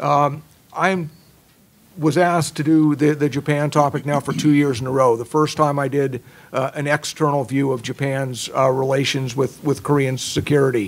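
Intonation stays fairly even as the man talks at a moderate pace. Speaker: journal editor and former Marine officer. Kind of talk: conference presentation. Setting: stage with audience. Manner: halting, repeats words. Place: meeting room. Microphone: podium.

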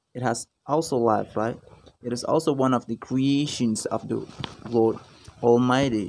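Light background noise sits under a man's normal speaking voice. He talks at a fairly slow pace with a medium pitch and fairly even intonation. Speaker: vlogger. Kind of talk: casual vlog narration. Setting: outdoors. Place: garden. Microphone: phone near.

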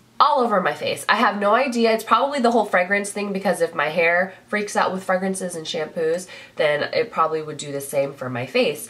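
Over noticeable background noise, a woman with a medium-pitched voice talks at a fairly quick pace in an animated tone, her intonation lively and her speech carrying hardly any pauses. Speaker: beauty vlogger. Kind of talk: casual talk to camera. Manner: chatty, animated.

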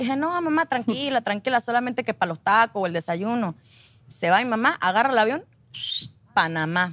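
An animated, fairly high-pitched woman at a fairly quick pace, with very wide pitch swings and a dry sound with no echo. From Mexico, Acapulco. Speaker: telenovela actress. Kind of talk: casual talk show interview. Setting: studio with audience. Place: studio.

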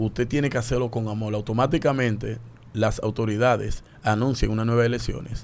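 Intonation is fairly even. The man moves along at a moderate pace. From Dominican Republic. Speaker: public figure with fans; radio guest. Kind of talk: opinion discussion. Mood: earnest, encouraging. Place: studio. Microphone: studio mic.

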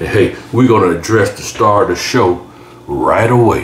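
A man talks with ordinary pitch variation. Room echo and light background noise are audible. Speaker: home cook channel host. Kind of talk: casual cooking tutorial. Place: kitchen.

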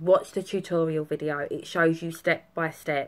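This woman's voice is fairly low in pitch and monotone, with flat intonation. She speaks at a fairly slow pace. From Essex, England. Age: 20s. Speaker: customer giving a product review. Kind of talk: customer testimonial to camera. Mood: upbeat, enthusiastic. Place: home room. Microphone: phone near.

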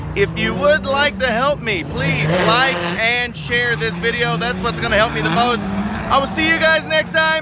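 Loud background noise accompanies a man speaking at a fairly slow pace, with a dry sound and no echo. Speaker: vlogger. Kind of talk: casual vlog chat. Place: open country. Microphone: phone near.

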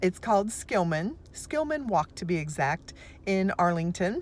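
In a dry recording with no echo, a woman speaks at a moderate pace. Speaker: vlogger. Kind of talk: casual vlog chat. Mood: cheerful, relaxed. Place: car. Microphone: phone near.

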